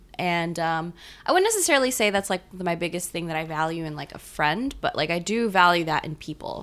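With an American accent, a woman talks at a fairly quick pace in a normal speaking voice, her fairly low pitch showing ordinary variation. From Gainesville, Florida. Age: 20s. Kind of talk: casual chat.

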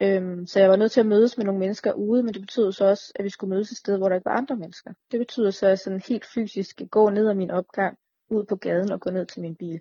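A woman speaks at a very fast pace with hardly any pauses. Her voice is somewhat breathy, with fairly even intonation. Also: medium pitch for a woman. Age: 30s. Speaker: chronically ill patient sharing experience. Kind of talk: casual interview.

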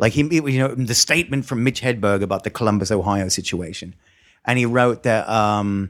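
On a very clean recording with a silent background, a man speaks with an Australian accent and ordinary pitch variation. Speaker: stand-up comedian. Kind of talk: casual chat. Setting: studio.

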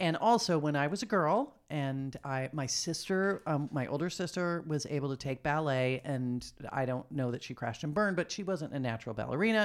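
A woman with a very deep, low pitch, an animated tone, and lively intonation, at a fairly quick pace with hardly any pauses. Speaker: podcast host. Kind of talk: casual chat. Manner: animated, laughs often.

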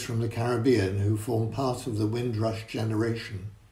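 A man speaks at a moderate pace with a medium pitch. His tone is dark and mellow, and somewhat breathy. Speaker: prayer leader at a church service. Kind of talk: intercessory prayer. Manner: formal.

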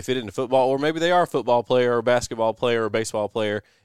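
With a Southern US accent, a man speaks with ordinary pitch variation in a dry, close sound with no echo. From US South. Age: 30s. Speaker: parks and recreation director. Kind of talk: casual chat. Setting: studio.

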